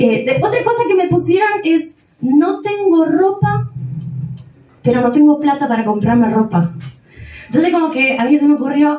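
A woman with a Rioplatense accent speaks at a moderate pace, with audible room echo and noticeable background noise. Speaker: stand-up comedian. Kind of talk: stand-up. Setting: stage with audience.

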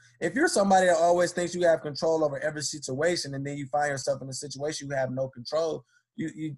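A man talks at a very fast clip with hardly any pauses. His fairly high voice is somewhat breathy and has ordinary pitch variation. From Detroit, Michigan. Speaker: motivational speaker. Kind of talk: interview testimony.

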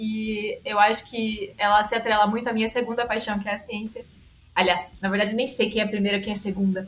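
With music in the background, a woman with a fairly high pitch talks at a fairly quick pace in a flat, monotone delivery. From Brazil, São Paulo state (Araraquara). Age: 30s. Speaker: scientist. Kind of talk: casual interview.

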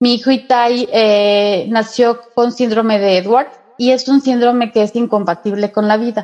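Using a normal speaking voice, a woman speaks at a fairly slow pace, with a fairly high pitch and fairly even intonation. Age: 40s. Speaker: Reiki and angel therapist. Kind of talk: interview.

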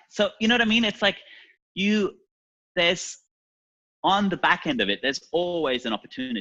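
A man's high-pitched, raised, projected voice with a bright, sharp tone, lively intonation and a fairly quick pace broken by long, frequent pauses, in a dry, close sound with no echo. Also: quiet background. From East Germany. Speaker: portrait photographer. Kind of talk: interview conversation.

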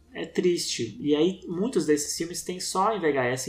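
A man speaks in a somewhat breathy voice. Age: 40s. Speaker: documentary filmmaker. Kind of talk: casual interview.

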